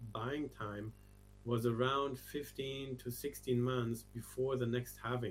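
A man with a German accent, medium in pitch and flat in a monotone, over music in the background. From Germany. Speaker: crypto research strategist. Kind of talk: interview.

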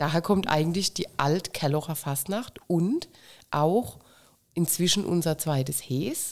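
A woman with a fairly low pitch speaks at a very slow pace, recorded very cleanly against a silent background. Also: ordinary pitch variation. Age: 50s. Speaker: carnival club president. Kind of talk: casual interview.

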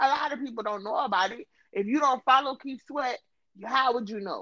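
With an American accent, a woman speaks in a raised, projected voice at a high pitch, her tone bright, sharp and animated and her intonation lively. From US South. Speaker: podcast host. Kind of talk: casual chat.

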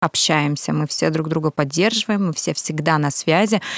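At a moderate pace, a woman speaks in a plain, everyday voice with ordinary pitch variation, the sound dry and close with no echo. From Russian Far East, Kamchatka. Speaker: event organizer and singer. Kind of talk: casual chat.

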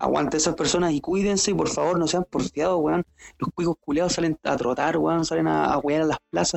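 A man speaks at a fairly quick pace with a Chilean accent. His loudness stays very even. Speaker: podcast co-host. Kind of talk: casual chat.

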